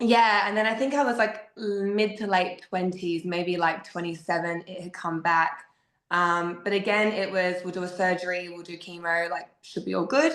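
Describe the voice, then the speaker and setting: A woman speaks in an Australian accent at a medium pitch with ordinary pitch variation. Her loudness rises and falls in big swings. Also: moderate pace. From South Australia, Adelaide. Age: 30s. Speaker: podcast guest sharing grief story. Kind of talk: personal testimony.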